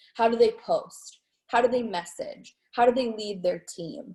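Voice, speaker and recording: A woman speaks at a moderate pace. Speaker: network marketing team leader. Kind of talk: live training webinar. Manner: energetic, enthusiastic.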